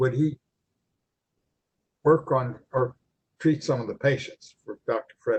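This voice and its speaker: A somewhat breathy man with an American accent, at a fairly slow pace. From eastern Ohio, New Philadelphia. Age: 80s+. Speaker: retired chiropractor. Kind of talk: interview, personal reminiscence. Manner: halting, many fillers and repeats.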